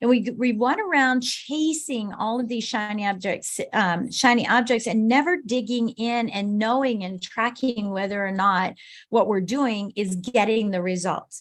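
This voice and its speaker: Against a quiet background, a plain, everyday voice moves at a fairly slow pace with hardly any pauses and ordinary pitch variation. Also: woman, fairly high pitch for a woman. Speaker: business coach speaker. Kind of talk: motivational talk.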